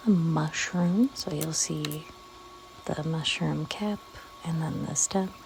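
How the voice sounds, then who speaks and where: A soft-spoken woman with a fairly low pitch and ordinary pitch variation, very slow and broken by long, frequent pauses, amid noticeable background noise. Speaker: artist and video creator. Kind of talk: casual ASMR-style art narration. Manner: quiet, soft-spoken; hesitant, many fillers.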